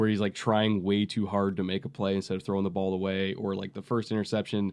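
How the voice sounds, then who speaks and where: Against a quiet background, a man with a fairly low pitch talks at a fairly quick pace in a flat monotone. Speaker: football analyst podcast host. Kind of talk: casual sports analysis chat.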